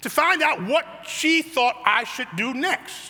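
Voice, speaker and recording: With an American accent, a man speaks at an extremely high pitch with lively intonation. Noticeable background noise sits behind him. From US Midwest, south side of Chicago. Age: 70s. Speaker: pastor. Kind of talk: sermon.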